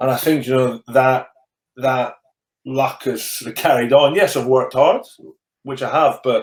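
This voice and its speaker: A man with a Scottish accent speaks with long, frequent pauses. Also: medium pitch for a man, fairly even intonation, moderate pace. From Scottish Borders. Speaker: rugby coach, former rugby player. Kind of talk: interview answer. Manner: has a stammer.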